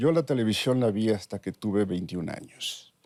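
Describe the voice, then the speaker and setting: Speaking with a slight northern Mexican accent, a man uses a fairly low voice with a dark, mellow tone, captured in a very clean recording with a silent background. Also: dry, close sound with no echo. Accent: slight northern Mexican (Sonoran) 'sh' sound. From Mexico, Sonora (Ures). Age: 60s. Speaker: neuroscientist. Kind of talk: interview.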